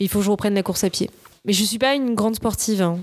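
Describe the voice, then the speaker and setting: A woman speaks in an ordinary speaking voice at a medium pitch with fairly even intonation. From southern France, Nice. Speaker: screenwriter and actress. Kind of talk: casual interview.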